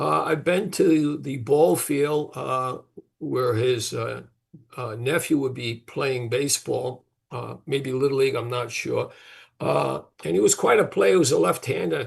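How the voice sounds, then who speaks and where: A man's medium-pitched voice with vocal fry, lively intonation and a fairly slow pace. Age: 70s. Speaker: father of a trial defendant. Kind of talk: interview. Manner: halting.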